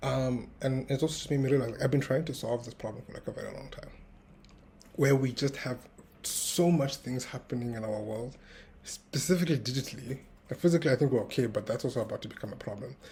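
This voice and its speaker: Talking very fast, a man's voice swings widely in loudness. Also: medium pitch for a man, ordinary pitch variation. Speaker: tech founder vlogger. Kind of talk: casual vlog monologue. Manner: uneven loudness, practicing projecting; hesitant, many fillers.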